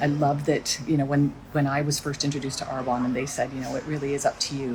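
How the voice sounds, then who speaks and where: This woman's voice is very deep and low, and she talks at a very fast pace with a Canadian accent. Noticeable background noise runs behind her. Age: 60s. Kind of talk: casual social media video. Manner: animated.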